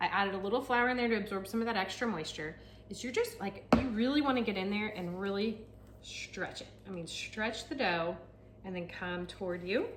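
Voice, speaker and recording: A woman with a medium pitch talks at a fairly quick pace amid noticeable background noise and audible room echo. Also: ordinary pitch variation. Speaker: realtor and home cook vlogger. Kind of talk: cooking tutorial. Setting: home kitchen. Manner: fast; casual, chatty.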